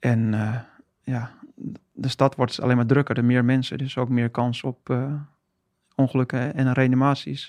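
Monotone, flat delivery in a dry, close sound with no echo, on a very clean recording against a silent background. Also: man, medium pitch for a man. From Haarlem, North Holland. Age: 40s. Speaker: firefighter and former marine. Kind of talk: interview.

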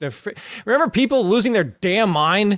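A man talks in an unremarkable speaking voice. The recording is very clean, dry, and close, with a silent background and no echo. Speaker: fantasy football podcast host. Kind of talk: casual sports banter.

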